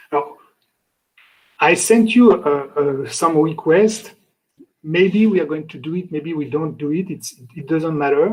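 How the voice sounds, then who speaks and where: With a French accent, a man speaks at a fairly slow pace and a fairly high pitch, using ordinary pitch variation and long, frequent pauses. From France. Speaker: lecturer. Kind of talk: lecture. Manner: halting.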